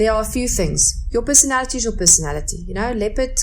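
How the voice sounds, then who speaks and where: Noticeable background noise sits behind a woman's voice. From South Africa. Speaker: businesswoman. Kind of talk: interview. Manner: animated, with repetitions and restarts.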